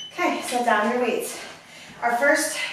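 A woman's high-pitched voice with ordinary pitch variation, amid strong room echo and light background noise. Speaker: fitness instructor. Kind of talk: workout instruction. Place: home room. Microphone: camera far.

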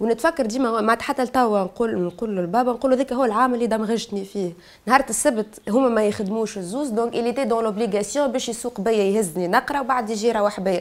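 Speech rushes by at a very fast pace with hardly any pauses and ordinary pitch variation. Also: woman. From Tunisia, Bizerte; Tunisia. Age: 20s. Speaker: activist; guest. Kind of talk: testimony. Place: studio.

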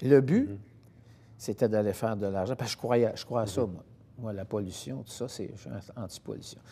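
With a dark, mellow tone and vocal fry, a man talks at a moderate pace in a fairly low pitch with ordinary pitch variation, his loudness swinging widely and his pauses long and frequent. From Quebec. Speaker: singer; guest. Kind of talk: interview. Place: studio.

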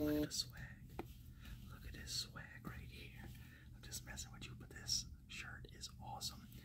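Whispering, a man talks at a fairly slow pace with long, frequent pauses. His loudness swings a lot. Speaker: ASMR creator. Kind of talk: ASMR personal attention, casual talk to camera. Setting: recorded on a phone without a mic. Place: home room. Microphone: phone near.

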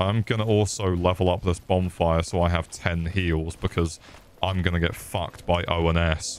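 With a British accent, a man speaks at a moderate pace in an animated tone, his pitch very deep and low. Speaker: gaming streamer. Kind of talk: live gameplay commentary.

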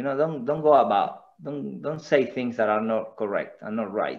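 With faint music in the background, a man speaks at a fairly slow pace in an Argentine accent. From Argentina. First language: Spanish. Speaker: former footballer and coach; coach. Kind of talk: casual interview. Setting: video call. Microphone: video call.

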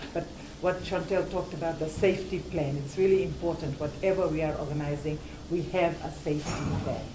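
A woman's very deep, low-pitched voice at a moderate pace, fairly even in intonation, over noticeable background noise. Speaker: activist coordinator. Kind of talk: rally speech. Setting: outdoor vigil and rally. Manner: earnest, conversational. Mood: earnest, organizing. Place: office. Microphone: camera far.

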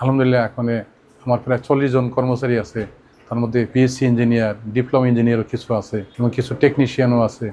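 A man's dark, mellow voice at medium pitch, monotone and flat in intonation. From Bangladesh, Faridpur district. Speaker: vocational training centre owner, former migrant worker. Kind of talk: testimony.

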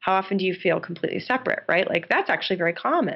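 Lively intonation from a woman with a medium pitch. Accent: New York State. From upstate New York. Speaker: game designer and professor. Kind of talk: interview.

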